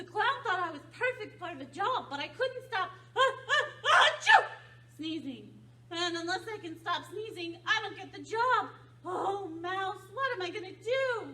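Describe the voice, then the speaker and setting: With an extremely high pitch, a cartoonish character voice moves along at a moderate pace. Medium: puppet. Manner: hesitant, stammering.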